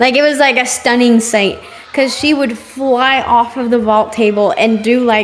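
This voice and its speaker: A woman with a non-native accent talks at a high pitch and very even loudness. Music plays in the background, and room echo is audible. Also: fairly slow pace. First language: not English. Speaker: gymnastics commentator. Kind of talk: live commentary. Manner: excitable.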